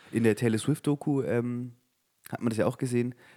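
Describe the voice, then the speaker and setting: This is a man speaking at medium pitch. His tone is dark and mellow. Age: 20s. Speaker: podcast co-host. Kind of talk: casual chat. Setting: studio.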